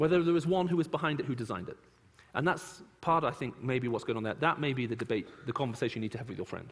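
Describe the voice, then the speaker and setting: Speaking at a very fast pace, a man with fairly high pitch uses lively intonation. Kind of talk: lecture with Q&A. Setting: church.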